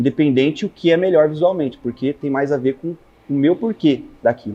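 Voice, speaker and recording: A man speaks in a fairly high pitch, his tone dark and mellow and his intonation lively. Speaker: photographer. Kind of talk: talk to an audience.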